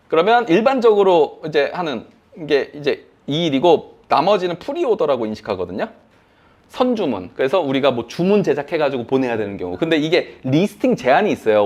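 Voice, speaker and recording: At a very fast pace, a man with a fairly high pitch and vocal fry swings very widely in pitch. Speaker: online selling instructor. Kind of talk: lecture. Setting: classroom with online attendees.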